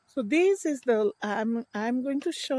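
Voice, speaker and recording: A woman with a dark, mellow tone speaks at a moderate pace in a dry, close sound with no echo. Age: 60s. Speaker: vlogger. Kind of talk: casual vlog monologue. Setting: outdoors on a walk. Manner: halting.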